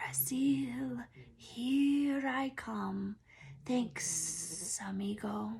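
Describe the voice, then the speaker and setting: A woman uses a put-on character voice at a very deep, low pitch. She speaks at a very slow pace. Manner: casual, grateful.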